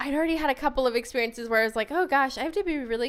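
This woman speaks with a Midwestern American accent. The recording is very clean, with a silent background. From downstate Illinois, small rural town. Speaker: returned Peace Corps volunteer. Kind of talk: casual interview.

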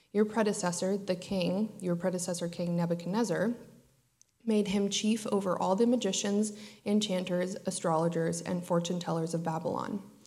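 Speaking at a moderate pace, a woman uses a dark, mellow tone and a medium pitch with fairly even intonation. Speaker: scripture reader. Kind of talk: reading aloud. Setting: church.

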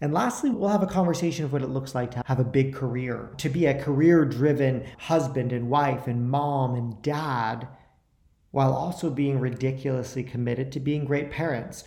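Dark and mellow in tone and somewhat breathy, this voice moves at a moderate pace with fairly even intonation and audible room echo. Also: man. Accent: American. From New York. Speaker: podcast host. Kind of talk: interview; scripted introduction.

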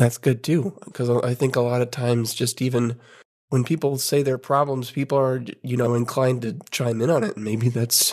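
Over a quiet background, a man talks at a moderate pace in an unremarkable speaking voice. His pitch is medium, with ordinary variation. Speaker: podcast host. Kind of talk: casual chat.

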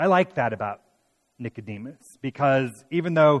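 In a normal speaking voice, a man speaks at a moderate pace with fairly high pitch and ordinary pitch variation, the sound dry and close with no echo. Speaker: pastor. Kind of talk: sermon with scripture reading. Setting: church midweek worship service. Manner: warm, conversational preaching.

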